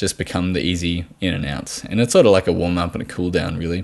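Against a quiet background, a man with an Australian accent and a very deep, low voice talks at a fairly quick pace. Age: 20s. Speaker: podcast host, nutritional therapist. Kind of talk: solo podcast monologue. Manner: halting, many fillers and repetitions.

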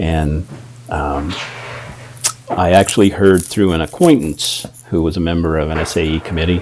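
Over noticeable background noise, a man with an American accent speaks at a moderate pace in a very deep, low pitch, his intonation fairly even and his pauses long and frequent. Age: 60s. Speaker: sales manager. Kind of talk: interview.

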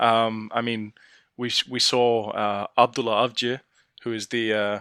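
In a bright, sharp tone, a man with an English accent speaks at medium pitch in a monotone, flat intonation, the sound dry and close with no echo. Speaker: football fan pundit. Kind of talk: casual chat. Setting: remote call.

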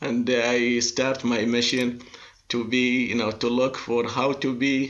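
A man with an Arabic accent speaks at a very slow pace. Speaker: industrial inspection expert. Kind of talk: interview. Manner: halting, many fillers.

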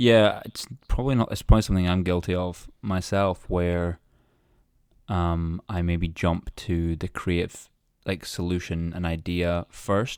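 A man with a very deep, low voice talks fairly slowly, leaving long, frequent pauses, in a dry, close sound with no echo and a very clean recording over a silent background. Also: fairly even intonation. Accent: Scottish. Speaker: podcast host. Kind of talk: casual interview.

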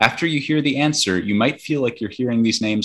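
A man with a plain, everyday voice speaks at a medium pitch with lively intonation. The recording is very clean with a silent background. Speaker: quiz host. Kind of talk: casual quiz show.

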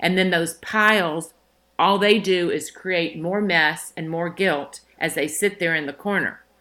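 A woman speaks in a normal speaking voice with an American accent. Her intonation stays fairly even. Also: fairly low pitch for a woman. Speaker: wardrobe consultant and stylist. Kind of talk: interview.

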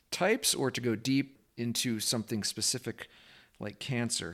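The recording is very clean, with a silent background. A man with a normal speaking voice uses medium pitch and fairly even intonation. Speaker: podcast host. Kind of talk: interview conversation.

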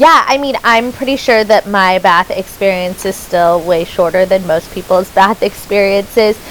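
Noticeable background noise sits behind a woman speaking at medium pitch. She keeps a moderate pace with ordinary pitch variation and hardly any pauses. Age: 20s. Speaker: podcast host and self love coach. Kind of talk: casual chat.

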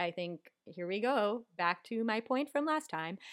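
An unremarkable speaking voice with lively intonation, in a very clean recording with a silent background. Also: woman. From Miami, US. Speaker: guest. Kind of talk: casual chat about a movie.

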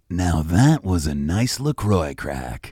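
On a very clean recording with a silent background, a man puts on a character voice at a very deep, low pitch, with very wide pitch swings and a fairly slow pace. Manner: announcer delivery, crisp and biting off the words.

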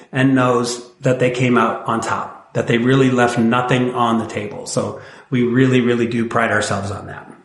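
Audible room echo surrounds a man with an American accent. He speaks at a medium pitch and a moderate pace. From Northwest Indiana. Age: 40s. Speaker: timeshare resale company representative. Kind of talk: casual interview chat.

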